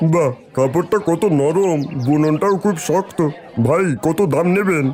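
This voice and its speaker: Delivered in a cartoonish character voice at middle pitch, the speech moves at a moderate pace against clear background noise. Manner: appreciative.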